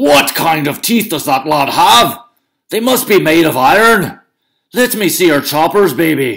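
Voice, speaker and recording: A man puts on a loud, high-pitched character voice. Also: moderate pace. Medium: read story. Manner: loud, blustering.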